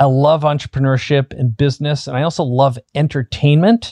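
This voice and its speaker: In an Upper Midwest accent, the speaker goes at a moderate pace, recorded with a dry, close sound with no echo against a quiet background. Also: man. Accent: Upper Midwest American. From US Midwest, small-town Minnesota. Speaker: business coach. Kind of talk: interview.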